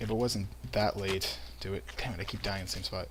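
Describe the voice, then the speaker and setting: There is noticeable background noise. Over it, a man speaks with a fairly low pitch. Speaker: gaming commentator. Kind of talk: casual gameplay commentary. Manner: words run together.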